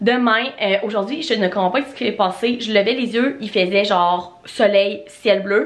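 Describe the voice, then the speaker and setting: Speaking at a fairly slow pace in a Quebec accent, a woman uses a medium pitch with ordinary pitch variation. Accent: Québécois French. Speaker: lifestyle vlogger. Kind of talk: casual vlog monologue. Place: home room. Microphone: phone near.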